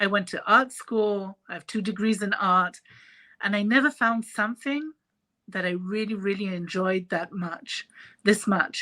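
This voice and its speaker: A woman's bright, sharp voice with a French accent, medium in pitch with ordinary variation, at a fairly slow pace. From Israel. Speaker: face painter and artist. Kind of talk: interview. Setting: live stream video call.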